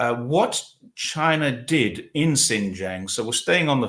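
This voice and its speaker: In an English accent, a man talks at a fairly slow pace with ordinary pitch variation on a very clean recording with a silent background. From England. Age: 60s. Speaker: talk show host. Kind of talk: casual interview. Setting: livestream.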